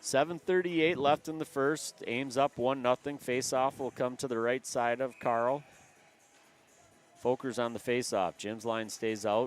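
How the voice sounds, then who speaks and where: A man with a Canadian accent at medium pitch, moderate pace and ordinary pitch variation, in dry, close sound with no echo and music in the background. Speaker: amateur hockey play-by-play announcer. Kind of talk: live sports commentary.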